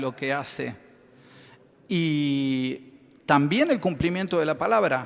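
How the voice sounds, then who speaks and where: A man's fairly high-pitched voice at a very slow pace, with lively intonation. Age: 60s. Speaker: chemist and business owner. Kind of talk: conference panel talk. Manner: hesitant, many fillers.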